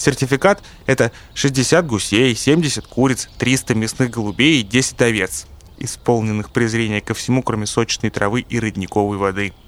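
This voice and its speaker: This man has an unremarkable speaking voice with medium pitch and ordinary pitch variation. He talks at a moderate pace, with big swings in loudness. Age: 60s. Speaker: farmer, former businessman. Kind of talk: testimony.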